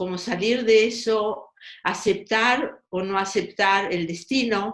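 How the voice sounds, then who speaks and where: A woman talks with a Russian accent and ordinary pitch variation. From Argentina, Buenos Aires. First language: Russian (speaking Spanish). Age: 80s+. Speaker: writer. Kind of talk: interview. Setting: podcast.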